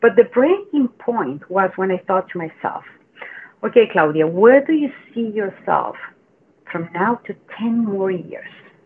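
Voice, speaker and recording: Lively in intonation, a woman speaks at a fairly slow pace with a Chilean accent. Her pitch sits in the medium range. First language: Spanish. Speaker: mental health coach. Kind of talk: casual interview.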